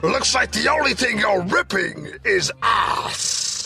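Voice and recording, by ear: Over clear background noise, a man delivers a put-on character voice at a fairly slow pace.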